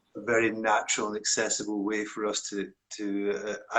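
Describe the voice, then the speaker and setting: With a strong Scottish accent, a man speaks at a fairly low pitch in a bright, sharp tone. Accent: broad Scottish. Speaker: meditation teacher. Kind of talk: interview conversation.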